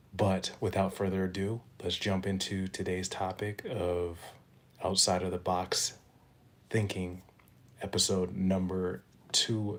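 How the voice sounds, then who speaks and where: A quiet man speaks in a very deep, low pitch with monotone, flat intonation. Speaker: motivational podcaster. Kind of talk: motivational monologue with spoken-word poetry. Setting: at home, early morning. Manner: kept low and quiet; rhythmic, rhyming delivery.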